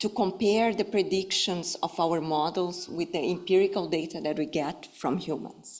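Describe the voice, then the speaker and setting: A woman speaks at a fairly slow pace in a Brazilian Portuguese accent, her pitch fairly low. The recording is very clean, with a silent background. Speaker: professor. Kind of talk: lecture. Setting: stage with audience. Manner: formal; halting, many fillers.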